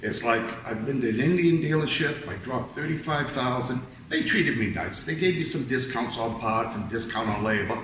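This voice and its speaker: Over noticeable background noise and audible room echo, a man speaks at a medium pitch and a fairly quick pace with ordinary pitch variation. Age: 60s. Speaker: customer. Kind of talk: interview. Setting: dealership.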